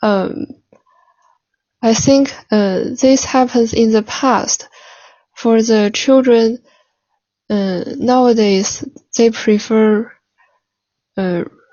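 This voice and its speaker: At a very slow pace, a woman speaks in a Chinese accent. Her pitch is fairly high and her intonation fairly even. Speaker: language learner practising for a speaking exam. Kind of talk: mock speaking exam. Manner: halting.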